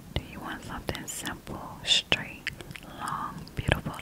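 Someone whispers at a fairly slow pace over loud background noise. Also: woman. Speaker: ASMR creator playing hairstylist. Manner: close-mic ASMR whisper. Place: home room. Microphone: studio mic.

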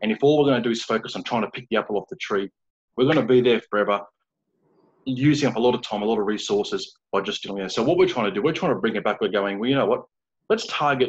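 A man talks at a very fast pace with long, frequent pauses against a quiet background. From Australia. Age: 30s. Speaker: founder of a men's support group; interview guest. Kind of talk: interview. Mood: earnest, casual, anecdotal. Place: home room. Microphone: video call.

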